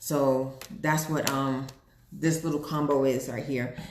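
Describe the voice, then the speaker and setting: Audible room echo is present. The speaker is a woman. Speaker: online seller of weight-loss products. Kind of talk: live sales pitch. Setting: live video stream. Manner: fast when nervous or excited.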